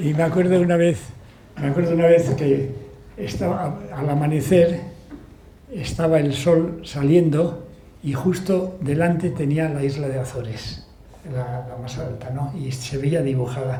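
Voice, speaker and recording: Over noticeable background noise and audible room echo, a man with a fairly high pitch talks at a fairly slow pace. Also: ordinary pitch variation. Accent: Basque. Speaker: author and sailor. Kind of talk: book talk Q&A.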